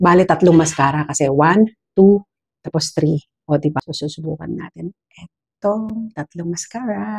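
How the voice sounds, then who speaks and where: A woman's fairly low, somewhat breathy voice at a moderate pace, with ordinary pitch variation and big swings in loudness. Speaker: beauty vlogger. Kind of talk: product review. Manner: animated.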